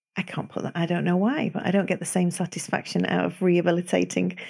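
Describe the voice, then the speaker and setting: The speaker has a Manchester accent. The pace is fairly quick. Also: woman. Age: 50s. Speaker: osteopath. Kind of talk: casual interview.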